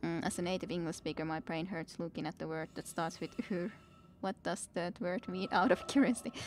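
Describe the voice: A woman speaks at a fairly quick pace in a fairly low voice. Her intonation stays fairly even.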